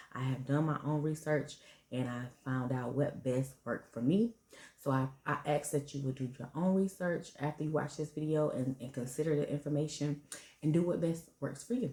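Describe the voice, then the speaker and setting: A soft-spoken, somewhat breathy woman with a very deep, low pitch, a dark, mellow tone, ordinary pitch variation and a moderate pace. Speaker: parenting and fertility vlogger. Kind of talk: casual vlog talk to camera. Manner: soft-spoken, talking low.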